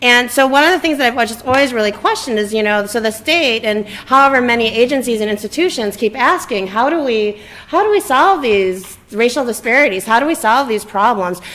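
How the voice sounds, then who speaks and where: A woman with a fairly high voice speaks with lively intonation over noticeable background noise. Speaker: community member. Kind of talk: community forum discussion. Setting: public event at a library. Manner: loud; halting.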